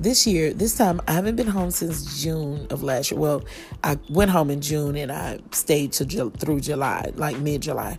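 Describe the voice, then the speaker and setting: A woman with an American accent, a very deep, low pitch and lively intonation, amid audible room echo and noticeable background noise. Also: moderate pace. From Kansas City, Missouri. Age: 40s. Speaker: podcast host and chef. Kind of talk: casual monologue. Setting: outdoors on porch.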